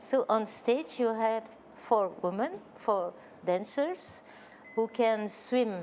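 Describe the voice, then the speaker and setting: A woman speaks with a French accent. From Belgium. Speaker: choreographer. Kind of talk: interview. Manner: halting.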